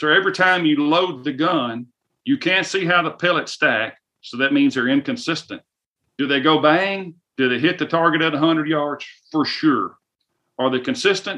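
Speaking with a Southern US accent, a man uses a fairly high pitch and a bright, sharp tone at a moderate pace. His tone is animated and his intonation lively. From US South. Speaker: firearms company influencer relations manager. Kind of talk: casual interview. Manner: animated, folksy.

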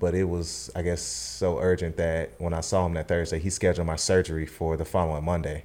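With a North Carolina accent, a man speaks in a very deep, low voice with a dark, mellow tone. He goes at a fairly quick pace with fairly even intonation and hardly any pauses. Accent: US Southern, North Carolina. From Charlotte, North Carolina. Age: 30s. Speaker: cancer survivor. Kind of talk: testimony. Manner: halting.

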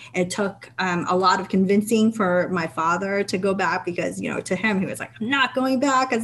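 Speaking with a New England accent at a fairly quick pace and barely pausing, a woman keeps a medium pitch with ordinary variation against noticeable background noise. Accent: American, New England. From Vietnam, raised in Massachusetts from age five. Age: 30s. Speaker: state legislator. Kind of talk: interview.

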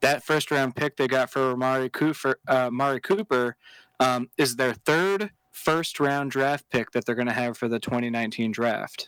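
Recorded very cleanly against a silent background, a man speaks at a moderate pace with ordinary pitch variation. He has a normal speaking voice. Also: medium pitch for a man. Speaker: podcast co-host. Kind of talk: casual chat.

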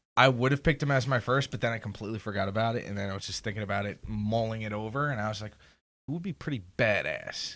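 A man talks very fast at a medium pitch, his pitch varying in an ordinary way. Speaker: guest. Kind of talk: casual chat.

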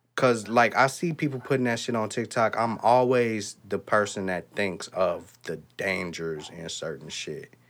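A man with an unremarkable speaking voice talks in an American accent at medium pitch, with lively intonation and hardly any pauses. The recording is very clean, the background silent. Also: fairly slow pace. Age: 30s. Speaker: podcast co-host. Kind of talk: casual chat.

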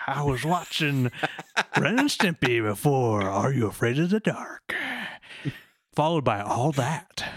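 Using a put-on character voice at a low-to-middle pitch, the speaker moves at a moderate pace with long, frequent pauses.

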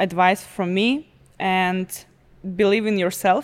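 A woman with an Eastern European accent and fairly even intonation. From Belarus. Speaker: truck driver and car model. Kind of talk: casual chat. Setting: studio. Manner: halting.

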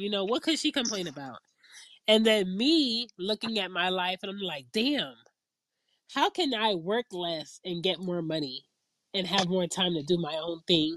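A woman with a normal speaking voice talks at a moderate pace with lively intonation. The sound is dry and close, with no echo. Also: medium pitch for a woman. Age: 30s. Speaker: podcast host. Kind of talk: casual chat.

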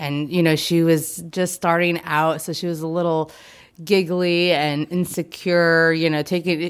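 In a normal speaking voice, a woman talks at a fairly slow pace with a fairly low pitch. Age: 30s. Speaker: former evangelical pastor. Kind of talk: casual chat. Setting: video call.

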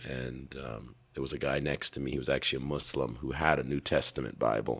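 A man speaks with a raspy voice and vocal fry. His pitch is very deep and low, and his intonation is monotone and flat. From Canada. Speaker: preacher and evangelist. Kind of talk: interview conversation, casual. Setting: interview in Ethiopia.

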